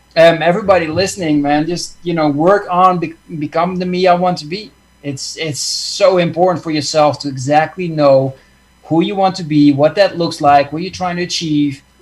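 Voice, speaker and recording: With a Dutch accent, a man speaks at a high pitch and moderate pace with fairly even intonation over noticeable background noise. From Netherlands. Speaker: success coach. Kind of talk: casual chat. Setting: video call.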